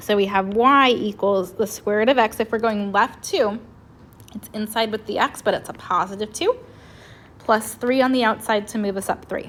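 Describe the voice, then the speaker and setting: A woman's fairly high-pitched voice, an ordinary speaking voice, with fairly even intonation. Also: moderate pace. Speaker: math teacher. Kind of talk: tutorial.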